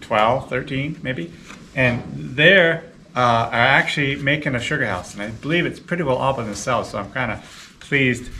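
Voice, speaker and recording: A man talks at a fairly quick pace, his pitch varying in an ordinary way, with light background noise behind him. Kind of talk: casual vlog explanation. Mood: calm, pleased. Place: workshop. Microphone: camera far.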